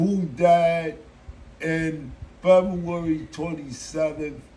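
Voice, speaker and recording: With an American accent and a dark, mellow tone, a man speaks very slowly at a fairly high pitch amid audible room echo. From Chicago, US Midwest. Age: 60s. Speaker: musical artist. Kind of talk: interview.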